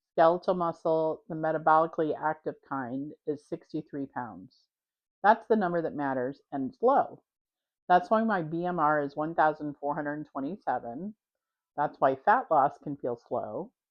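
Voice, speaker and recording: A woman speaks in a very deep, low pitch. Her pace is moderate and her intonation lively. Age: 60s. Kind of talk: casual talk to camera.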